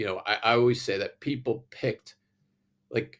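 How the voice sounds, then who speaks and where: The recording of this man is very clean, with a silent background. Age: 60s. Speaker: environmental engineer. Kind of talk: casual interview.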